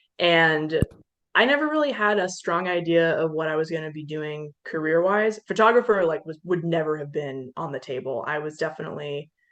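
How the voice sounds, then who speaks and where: A woman speaks with a plain, everyday voice and a fairly low pitch. Her pitch varies in an ordinary way over a quiet background. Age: 20s. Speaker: photographer and environmental scientist. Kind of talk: casual chat.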